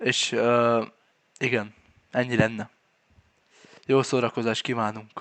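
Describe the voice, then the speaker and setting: A man talks at a very slow pace, his medium pitch held in monotone, flat intonation. Long pauses come frequently. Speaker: gaming YouTuber. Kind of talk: casual chat.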